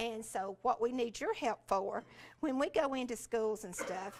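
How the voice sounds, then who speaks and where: A woman speaks with a Southern US accent. Her pitch is fairly high. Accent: Southern US (Georgia). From US South, rural Georgia. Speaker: education specialist, former teacher. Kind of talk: conference talk. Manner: halting, many fillers.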